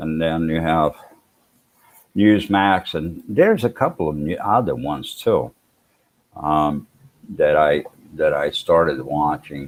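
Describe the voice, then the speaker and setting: The man speaks at a very slow pace. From Sweden, moved to US young. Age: 60s. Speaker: vlogger. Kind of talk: live stream chat. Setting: live stream. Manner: halting, many fillers and repeats.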